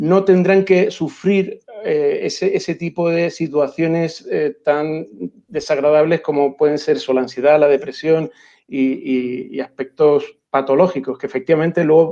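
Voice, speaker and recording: A man with a Canarian accent speaks at a moderate pace, his fairly high voice showing ordinary pitch variation. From Canary Islands (Las Palmas). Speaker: education researcher and school counselor. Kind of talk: interview.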